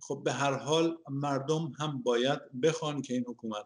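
Big swings in loudness at a moderate pace over a quiet background. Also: man. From Iran. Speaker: engineer and economist, opposition activist; interview guest. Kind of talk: interview. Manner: halting. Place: home room. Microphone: video call.

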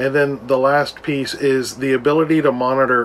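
There is light background noise. A man speaks over it at a moderate pace. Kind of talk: casual vlog explanation. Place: home room. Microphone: phone near.

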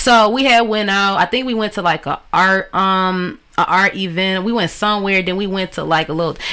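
This woman has a medium pitch. Her pace is fairly quick. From Detroit area, Michigan; Michigan. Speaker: rapper; interview guest. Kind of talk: interview. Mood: relaxed, storytelling. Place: home room. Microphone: studio mic.

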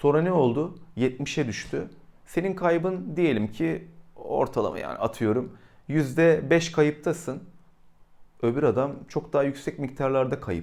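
Lively intonation and vocal fry mark this delivery at a fairly slow pace. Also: man. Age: 40s. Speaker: YouTuber. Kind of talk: casual monologue. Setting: indoors during thunderstorm.

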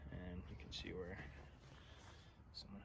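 Noticeable background noise fills the clip. A man's speech moves at a moderate pace. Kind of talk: casual vlog chat. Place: garden. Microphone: phone near.

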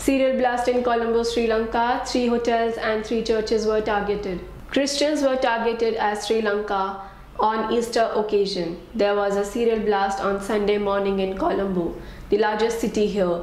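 A woman's fairly high voice at a moderate pace over noticeable background noise. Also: fairly even intonation. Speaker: news anchor. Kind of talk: news reading. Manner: formal; steady, brisk headline delivery.

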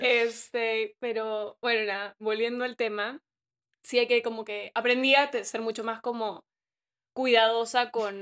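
This woman's pitch is fairly high. Her intonation is monotone and flat over a quiet background. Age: 20s. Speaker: social media influencer. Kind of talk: casual chat. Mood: reflective, calm. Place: home room. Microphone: studio mic.

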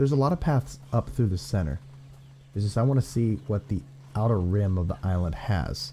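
A man's fairly low, somewhat breathy voice with an American accent, lively intonation, and a moderate pace. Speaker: gaming youtuber. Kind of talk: gameplay commentary. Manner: animated.

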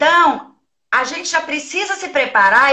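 Against a quiet background, a woman with a bright, sharp tone speaks in a raised, projected voice at a fairly slow pace, her intonation lively. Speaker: educator and trainer of child protection counselors; guest. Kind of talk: casual live-stream interview. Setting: video call. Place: office. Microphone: video call.

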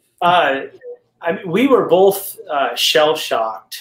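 A man speaks very slowly, his voice carrying audible room echo. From New England. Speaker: pastor and caregiving spouse. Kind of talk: interview conversation. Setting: video call. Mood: reflective, recalling a hard shock. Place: home room.

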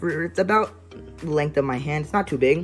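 Faint music sits in the background. The pace is moderate. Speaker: unboxing vlogger. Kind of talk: casual unboxing commentary. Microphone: phone near.

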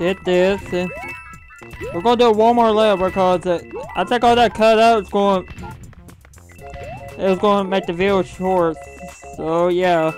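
Music plays in the background while the speech moves at a moderate pace with long, frequent pauses. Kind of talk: casual gameplay commentary. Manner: casual, hesitant.

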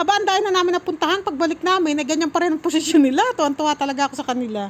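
Over noticeable background noise, a woman sounds animated, with lively intonation and a high pitch. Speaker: family vlogger. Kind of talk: vlog narration.

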